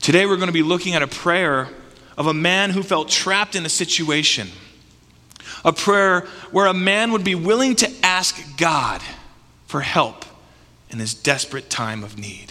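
A man's high voice, bright and sharp in tone, at a moderate pace with lively intonation and long, frequent pauses. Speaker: pastor. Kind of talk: sermon; fervent prayer. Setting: church. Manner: earnest, heartfelt, fervent.

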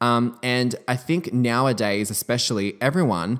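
Medium-pitched, a man speaks with an Australian accent and ordinary pitch variation. The recording is very clean, with a silent background. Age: 20s. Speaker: podcast host and beauty entrepreneur. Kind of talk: casual solo podcast monologue.

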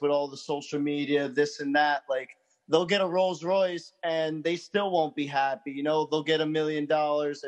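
This man has a plain, everyday voice, fairly high in pitch, with fairly even intonation. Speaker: podcast co-host. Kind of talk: casual chat.

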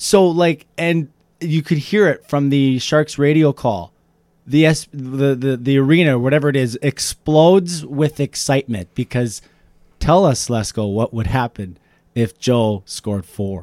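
With a fairly high pitch and lively intonation, a man speaks at a fairly slow pace. The sound is dry and close with no echo. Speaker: hockey podcast host. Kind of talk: casual sports podcast banter. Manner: animated, jokey, laughs often.

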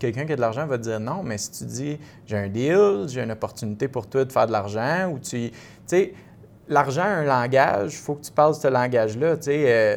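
Here is an ordinary speaking voice from a man at medium pitch. His loudness swings a lot. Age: 30s. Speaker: real estate investor. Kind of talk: casual interview.

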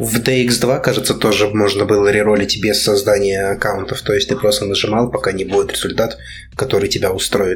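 Over noticeable background noise, a man with a fairly low pitch talks at a fairly quick pace, with fairly even intonation and very even loudness. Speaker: gacha game fan. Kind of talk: casual chat.

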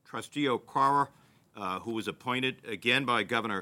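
With a Massachusetts accent, the voice has a bright, sharp tone, a fairly quick pace and ordinary pitch variation. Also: man. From Lowell, Massachusetts. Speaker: university president. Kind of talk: ceremony speech.

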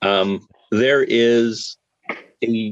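With a Canadian accent, a man speaks at a medium pitch in a dry, close sound with no echo. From Canada, Calgary. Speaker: systems integrator engineer. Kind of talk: casual panel discussion. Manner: halting, many repetitions.

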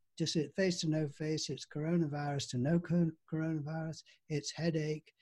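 This man has a dark, mellow tone and a fairly high pitch, speaking at a moderate pace. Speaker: group discussion host. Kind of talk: online group discussion. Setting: video call. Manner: warm, encouraging.

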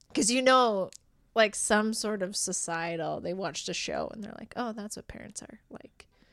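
A woman with an Albertan accent speaks at a moderate pace, fairly high in pitch with ordinary pitch variation. Her loudness swings widely on a very clean recording with a silent background. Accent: Canadian (Alberta). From Alberta, Canada (Rocky Mountain House). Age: 30s. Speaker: improv theatre director and performer. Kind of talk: casual chat.

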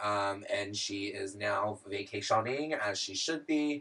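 This man has a fairly low voice with a bright, sharp tone. He talks at a very slow pace with ordinary pitch variation. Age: 20s. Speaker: podcast co-host. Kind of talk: casual chat.

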